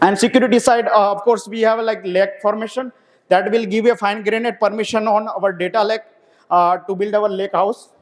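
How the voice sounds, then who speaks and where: His intonation monotone and flat, a man with a high pitch talks at a fairly quick pace. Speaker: software developer, conference speaker. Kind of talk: technical conference talk. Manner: fast; hesitant, many fillers.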